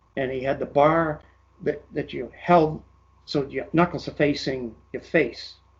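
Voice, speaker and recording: Somewhat breathy, a man speaks slowly-ish at a fairly slow pace, with a fairly high pitch and ordinary pitch variation. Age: 80s+. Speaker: retired bodybuilder. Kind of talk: interview. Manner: halting.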